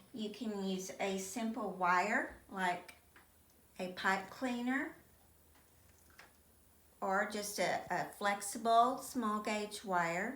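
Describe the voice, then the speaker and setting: A woman in a Texan accent speaks very slowly at a medium pitch, with ordinary pitch variation and long, frequent pauses. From Texas. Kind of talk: sewing tutorial.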